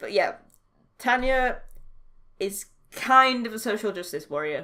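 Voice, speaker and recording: With a Yorkshire accent, a woman speaks at a fairly slow pace in a fairly high, bright, sharp voice, with lively intonation and big swings in loudness. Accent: posh-sounding for Yorkshire. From Yorkshire, northern England. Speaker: podcast co-host discussing TV. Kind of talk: casual chat.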